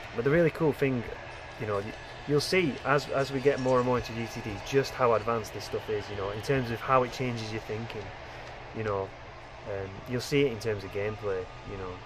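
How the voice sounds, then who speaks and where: At a fairly quick pace, a man talks at a medium pitch with ordinary pitch variation, amid noticeable background noise and audible room echo. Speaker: gaming video creator. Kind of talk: gameplay commentary. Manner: fast; rambling with frequent fillers and repetitions.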